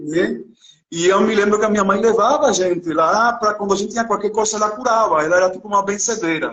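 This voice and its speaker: A high-pitched man at a very fast pace with ordinary pitch variation. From Cuba, Santa Clara. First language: Spanish (speaking Portuguese). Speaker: visual artist. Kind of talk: interview. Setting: live video call. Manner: halting.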